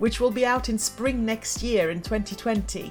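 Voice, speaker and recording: Over music in the background, a woman speaks in an upbeat tone at a moderate pace. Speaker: motivational speaker and former teacher. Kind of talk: podcast trailer read.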